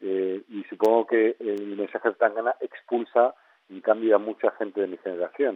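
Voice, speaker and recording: At a moderate pace, a man talks in a fairly low, monotone, flat voice. His loudness swings widely. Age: 60s. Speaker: head of an advertising industry association. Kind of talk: interview. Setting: phone call.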